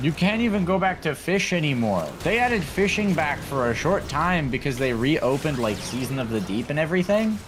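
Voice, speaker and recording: Against background music, a man talks at a fairly quick pace. His pitch is fairly high and swings very widely. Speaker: gaming streamer. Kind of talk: casual chat. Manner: slurring words.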